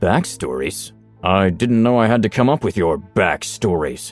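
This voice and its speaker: Faint music plays behind a man doing a put-on character voice. His voice is rumbling and fairly low-pitched, and his pace is moderate. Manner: displeased, grumbling.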